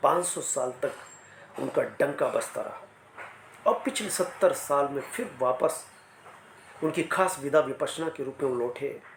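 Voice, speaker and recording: A man with long, frequent pauses amid noticeable background noise. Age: 60s. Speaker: motivational speaker. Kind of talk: motivational talk.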